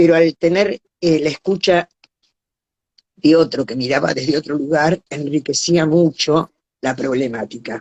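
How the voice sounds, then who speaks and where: The woman's pitch is very deep and low. She talks at a fairly slow pace with ordinary pitch variation. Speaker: live stream host. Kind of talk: live stream introduction.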